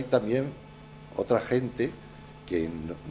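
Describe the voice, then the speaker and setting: Against audible room echo, a man speaks fairly slowly with lively intonation. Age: 70s. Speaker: journalist and writer. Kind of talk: Q&A after a lecture. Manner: hesitant, many fillers.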